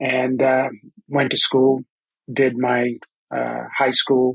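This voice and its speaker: Someone talks at a moderate pace in a Caribbean accent. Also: man. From Antigua and Barbuda. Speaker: construction training director. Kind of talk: podcast interview.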